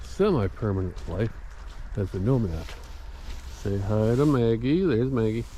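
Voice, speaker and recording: Audible room echo surrounds a man whose fairly low voice makes very wide pitch swings. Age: 70s. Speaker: vlogger. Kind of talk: casual vlog monologue. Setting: outdoors on a walk. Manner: conversational.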